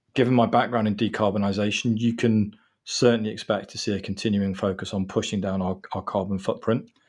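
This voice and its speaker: A man talks at a fairly quick pace in a monotone, flat intonation. The background is quiet. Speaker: law firm managing partner. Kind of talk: professional interview. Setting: remote recording. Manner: formal, measured.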